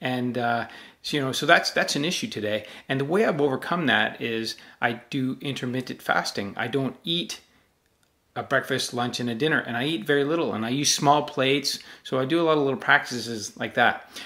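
A man speaks at a fairly quick pace in a bright, sharp tone. The background is quiet. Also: ordinary pitch variation. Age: 40s. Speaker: self-help channel host. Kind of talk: direct-to-camera talk. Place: home room.

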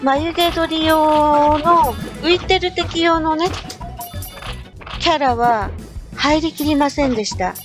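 A woman speaks at a very slow pace and high pitch, with ordinary pitch variation. Long, frequent pauses break her speech over music in the background. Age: middle-aged. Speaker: game streamer. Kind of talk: game commentary.

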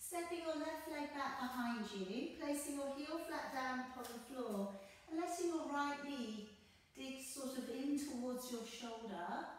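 Heard through strong room echo and light background noise, a woman speaks at a high pitch. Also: ordinary pitch variation. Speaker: yoga instructor. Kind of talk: guided yoga class, calm step-by-step cueing synced to breath. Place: home room. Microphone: camera far.

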